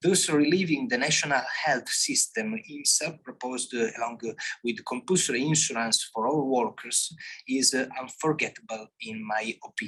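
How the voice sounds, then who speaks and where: Someone speaks at a moderate pace with ordinary pitch variation in an Italian accent. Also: man, medium pitch for a man. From Italy. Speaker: philosophy scholar. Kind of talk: conference talk. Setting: conference with audience. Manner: halting.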